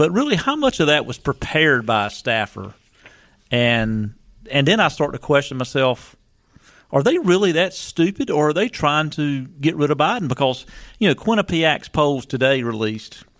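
A man's fairly high voice, an ordinary speaking voice, moves at a moderate pace with lively intonation. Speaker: radio co-host. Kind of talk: political talk radio. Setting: radio studio.

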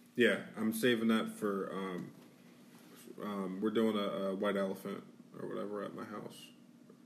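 At a moderate pace, a man with a fairly low pitch speaks in a monotone, flat way, his loudness swinging widely, with long, frequent pauses and audible room echo. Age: 30s. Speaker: podcast co-host. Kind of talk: casual chat.

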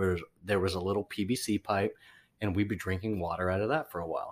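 The recording is very clean, with a silent background. The speech comes at a very fast pace. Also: man. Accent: American. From California. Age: 30s. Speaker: restaurant-type manager, host's brother. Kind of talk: casual chat.

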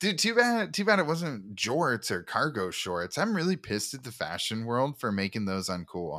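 A man's medium-pitched, bright, sharp voice with very wide pitch swings and hardly any pauses, on a very clean recording with a silent background. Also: moderate pace. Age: 30s. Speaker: podcast co-host. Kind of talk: casual chat.

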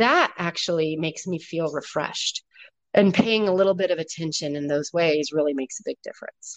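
An ordinary speaking voice from a woman, fairly low in pitch with ordinary pitch variation, at a fairly quick pace. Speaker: guest, working mother. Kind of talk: casual conversational interview. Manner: relaxed, chatty, humorous.

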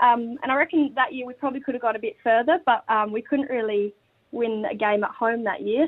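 With an Australian accent, a woman speaks in a high-pitched voice with ordinary pitch variation. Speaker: women's footballer and school teacher. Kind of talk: casual radio interview.

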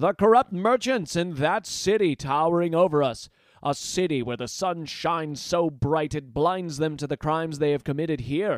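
This is a put-on character voice, raised and projected. It growls along at a moderate pace. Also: man, fairly high pitch for a man. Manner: rising, fiery, accusing.

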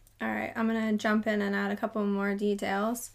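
A woman's fairly high, monotone voice with flat intonation, on a very clean recording with a silent background. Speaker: true crime podcast host.

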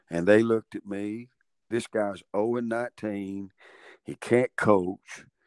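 With a Southern US accent, a man speaks at a very slow pace and fairly low pitch, his intonation fairly even and his loudness swinging widely, in a dry, close sound with no echo. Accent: Southern US (Georgia). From US South, Georgia (Dalton). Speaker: college basketball coach. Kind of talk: interview.

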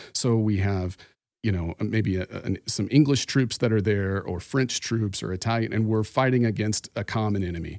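On a very clean recording with a silent background and a dry, close sound with no echo, a man speaks at a moderate pace and fairly low pitch in a plain, everyday voice. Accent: American. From Arizona (Phoenix). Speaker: podcast guest co-host, former evangelical. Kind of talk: casual chat about faith. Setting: in person.

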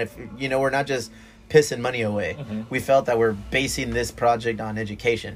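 A man talks at a medium pitch at a fairly quick pace. He has a plain, everyday voice. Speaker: bar owner and brewery owner. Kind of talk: casual chat. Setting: on location in a dive bar.

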